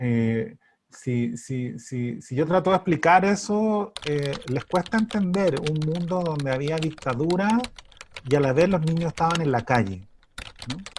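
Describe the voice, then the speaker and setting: With a Chilean accent, a man speaks at a fairly slow pace. His pitch is fairly high and his intonation lively. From Santiago, Chile. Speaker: writer. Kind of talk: interview answer.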